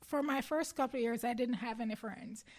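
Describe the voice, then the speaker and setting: A woman talks with a Jamaican accent. Her pitch is high. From Jamaica, Clarendon parish. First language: Jamaican Patois. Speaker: athlete. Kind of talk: interview.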